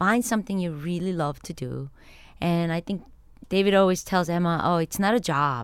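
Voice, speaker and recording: A woman's fairly low voice in a Korean accent, with ordinary pitch variation and a moderate pace, on a very clean recording with a silent background. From Korea, then New York City from 13. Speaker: chemist. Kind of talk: interview. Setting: studio.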